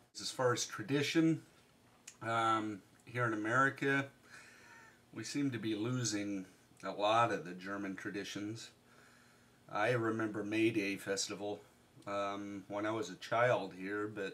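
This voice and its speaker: In a bright, sharp tone, a man with a fairly low pitch speaks fairly slowly, pausing long and often. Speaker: vlogger. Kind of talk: casual talk to camera. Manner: monotone.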